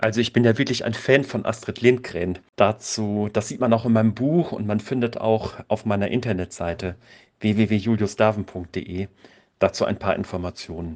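A man's fairly low pitch shows ordinary variation as he talks at a moderate pace in an unremarkable speaking voice. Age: 50s. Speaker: volunteer mentor and author. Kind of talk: interview.

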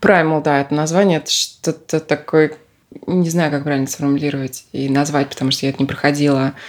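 A woman with a very deep, low voice talks fairly quickly in a monotone, flat way. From Russia, Moscow. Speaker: podcast guest, self-discovery practitioner. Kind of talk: casual interview.

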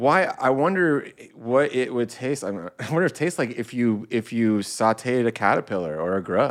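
This is a normal speaking voice with an American accent. The pace is moderate, with hardly any pauses. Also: man, medium pitch for a man. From Southern California. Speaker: podcast co-host. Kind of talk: casual chat.

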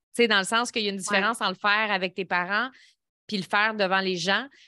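Bright and sharp in tone, a woman speaks at a very fast pace with medium pitch and fairly even intonation. The recording is very clean, with a silent background. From Quebec, Lévis area. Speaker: business coach and former TV personality. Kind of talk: interview, life story.

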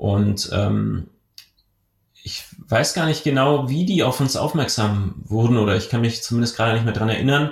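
A man's somewhat breathy, medium-pitched voice at a moderate pace with ordinary pitch variation and long, frequent pauses. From southwestern Germany (Rottweil, Baden-Württemberg). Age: 30s. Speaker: entrepreneur. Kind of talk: podcast interview. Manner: hesitant, frequent fillers.

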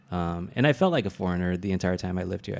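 A man talks with an American accent. His pitch is very deep and low. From California, US (Vietnamese American). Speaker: stand-up comedian. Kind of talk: casual interview chat. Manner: casual, laughs often.

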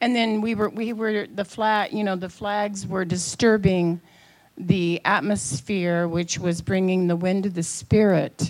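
In a very clean recording with a silent background, a woman with an unremarkable speaking voice talks at a medium pitch and a fairly slow pace, with ordinary pitch variation. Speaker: congregant. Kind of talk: testimony. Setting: church.

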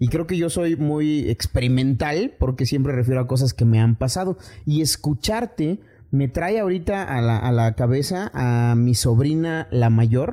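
A man's medium-pitched, dark and mellow voice with lively intonation at a fairly slow pace, on a very clean recording with a silent background. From Chiapas, Mexico. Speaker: podcast host. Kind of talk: casual chat. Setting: studio.

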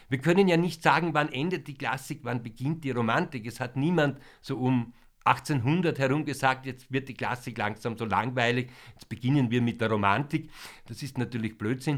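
Heard on a very clean recording with a silent background, a man with a plain, everyday voice speaks at a moderate pace and medium pitch, with ordinary pitch variation and big swings in loudness. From Vienna, Austria. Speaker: concert introducer / music presenter. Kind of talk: pre-concert talk to an audience. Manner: formal.

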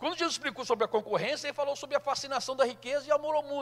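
In a raised, projected voice, a man speaks with an extremely high pitch and a bright, sharp tone. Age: 60s. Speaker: pastor. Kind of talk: sermon.

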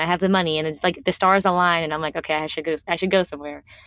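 A woman's fairly low voice with fairly even intonation against a quiet background. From US East Coast, Washington D.C. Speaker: travel blogger. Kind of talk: casual chat.

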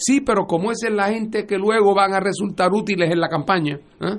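Speaking at a moderate pace, a man uses a high-pitched voice with ordinary pitch variation. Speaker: political commentator. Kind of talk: radio panel discussion.

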